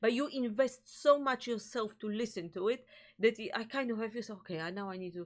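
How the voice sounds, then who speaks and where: A woman with a Polish accent speaks at a fairly quick pace and a fairly high pitch, with ordinary pitch variation and big swings in loudness. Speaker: music reaction video host. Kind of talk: casual chat. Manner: halting, searching for words.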